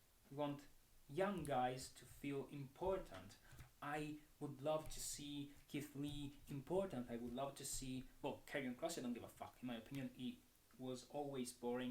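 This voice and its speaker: At a fairly slow pace, the speaker talks with a non-native accent and ordinary pitch variation. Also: man, fairly high pitch for a man. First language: not English. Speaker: wrestling commentator. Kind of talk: solo commentary. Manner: animated.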